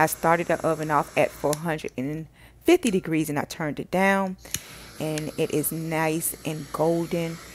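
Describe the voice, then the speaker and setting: A woman with an American accent speaks at a very deep, low pitch in a monotone, flat intonation. The recording is very clean, with a silent background. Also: moderate pace. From Miami, Florida (Carol City, Miami-Dade). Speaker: cooking channel host, chef. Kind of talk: cooking tutorial. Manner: casual, impromptu.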